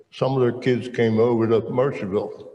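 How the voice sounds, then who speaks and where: A man with a medium pitch and a dark, mellow, somewhat breathy tone speaks with fairly even intonation amid audible room echo. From South Jersey (Camden area), US. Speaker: retired military veteran and churchman. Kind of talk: testimony interview. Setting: stage with audience.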